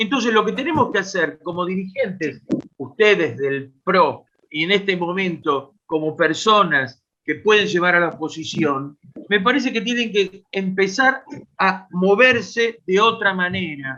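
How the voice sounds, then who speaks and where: A raised, projected voice, bright and sharp in tone, with lively intonation at a fairly slow pace. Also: man, high pitch for a man. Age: 70s. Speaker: audience member asking a question. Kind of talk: question at a political online meeting.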